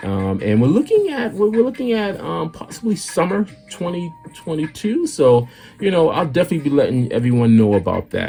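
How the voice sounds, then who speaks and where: Fairly quick speech from a man with an American accent, music playing behind. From US Northeast, Boston. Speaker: artist and illustrator. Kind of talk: casual chat while drawing. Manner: off the cuff, halting with many fillers; forward.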